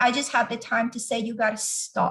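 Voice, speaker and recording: A woman's fairly high, somewhat breathy voice in a Venezuelan accent, monotone with flat intonation. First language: Spanish. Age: 40s. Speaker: organizational change leader. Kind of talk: interview testimony.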